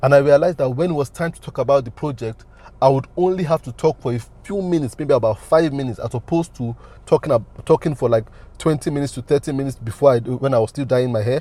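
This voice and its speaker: A man with a fairly high pitch and a dark, mellow tone talks at a very fast pace, somewhat breathy, with ordinary pitch variation and big swings in loudness. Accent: Nigerian. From Nigeria. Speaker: business consultant and coach. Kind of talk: motivational talk.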